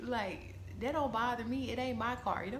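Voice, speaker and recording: A woman talks quietly at a fairly quick pace. The room echo is audible. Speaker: vlogger. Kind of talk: casual vlog monologue. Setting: indoors, quiet room. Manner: quiet, talking low.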